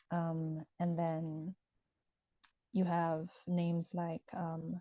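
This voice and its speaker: The voice has a dark, mellow tone and a Ghanaian accent. Delivery is very slow, with monotone, flat intonation. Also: woman, fairly low pitch for a woman. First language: Ewe. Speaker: author. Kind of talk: interview conversation. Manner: hesitant with many fillers.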